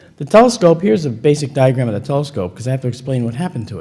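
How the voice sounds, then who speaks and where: Somewhat breathy and dark, mellow in tone, a man's medium-pitched voice moves with lively intonation. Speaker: UFO photo analyst and lecturer. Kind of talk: lecture.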